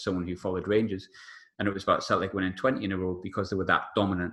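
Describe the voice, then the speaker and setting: Against a quiet background, a man with an English accent talks very fast in a fairly low, bright, sharp voice with monotone, flat intonation. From England. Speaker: sports journalist, podcast guest. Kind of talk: casual podcast chat about football.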